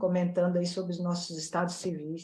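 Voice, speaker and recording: Somewhat breathy, a woman speaks in a medium pitch with a dark, mellow tone. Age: 60s. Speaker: plastic surgeon. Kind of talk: casual panel chat.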